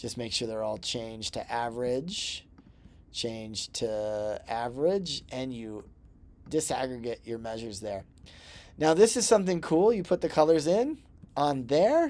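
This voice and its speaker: In an ordinary speaking voice of medium pitch, a man talks at a fairly slow pace with big swings in loudness, on a very clean recording with a silent background. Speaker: instructor. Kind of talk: tutorial. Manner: casual, with fillers.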